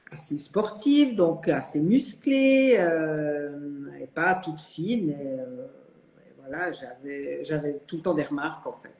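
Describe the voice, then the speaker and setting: A woman's very deep, low voice, very slow and full of very wide pitch swings, over noticeable background noise. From Switzerland. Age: 60s. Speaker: retiree, coaching client. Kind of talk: live interview testimony. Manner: hesitant, many fillers.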